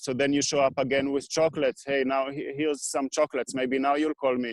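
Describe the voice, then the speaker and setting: The speaker has a non-native accent, and the sound is dry and close with no echo. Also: man. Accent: foreign. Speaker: equipment repair business owner. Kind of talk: interview. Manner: halting.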